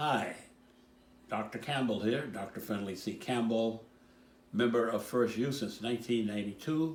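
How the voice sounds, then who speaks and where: Speaking at a moderate pace in a medium pitch, a man leaves long, frequent pauses while audible room echo surrounds his voice. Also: ordinary pitch variation. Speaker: church member. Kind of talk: recorded personal message.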